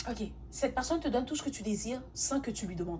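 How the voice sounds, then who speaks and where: Fairly quick speech from a woman, with audible room echo. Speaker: tarot reader. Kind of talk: tarot reading monologue. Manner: fast; halting, self-correcting.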